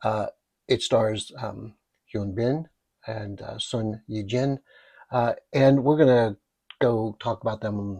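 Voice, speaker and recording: The recording of a somewhat breathy man is dry and close with no echo, set against a quiet background. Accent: American. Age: 60s. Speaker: podcast host. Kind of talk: solo podcast talk. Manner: halting, many fillers.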